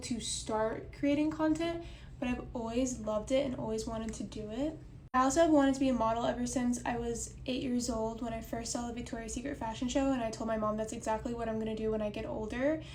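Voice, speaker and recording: Audible room echo surrounds a woman with an American accent and a fairly high pitch. She speaks at a very fast pace with fairly even intonation. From Oklahoma. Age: 20s. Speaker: content creator and model. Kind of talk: casual chat. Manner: casual, conversational.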